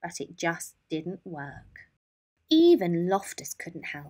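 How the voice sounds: Speaking slowly with big pitch swings, a woman uses a fairly low pitch and a slightly mellow tone.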